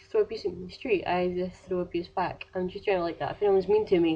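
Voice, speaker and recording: A woman speaks in a Scottish accent. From Scotland. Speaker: vlogger. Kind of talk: casual vlog advice rant. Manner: fast.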